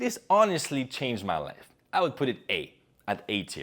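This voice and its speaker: Animated and full of very wide pitch swings, a man with a medium pitch and vocal fry speaks at a fairly slow pace. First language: not English (English is third language). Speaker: public speaking coach. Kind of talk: video essay / advice commentary.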